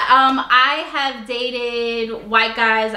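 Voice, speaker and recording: A loud, high-pitched woman's voice amid audible room echo and noticeable background noise. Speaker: YouTuber, interview guest. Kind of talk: casual interview chat.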